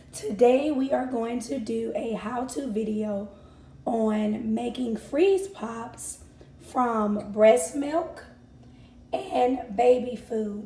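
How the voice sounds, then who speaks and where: With audible room echo, a woman speaks at a fairly high pitch with ordinary pitch variation. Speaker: mom vlogger. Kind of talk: tutorial.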